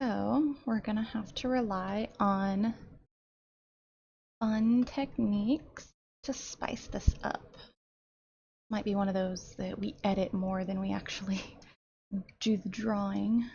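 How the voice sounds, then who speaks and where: A somewhat breathy woman at a very slow pace, with long, frequent pauses. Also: medium pitch for a woman, ordinary pitch variation. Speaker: digital artist. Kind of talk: casual tutorial commentary.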